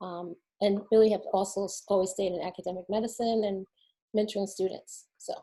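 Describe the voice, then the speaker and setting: With an American accent, a woman speaks fairly quickly in a dark, mellow tone at a medium pitch, her intonation monotone and flat. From New Jersey, near Newark. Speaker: physician, medical school dean. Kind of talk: panel self-introduction.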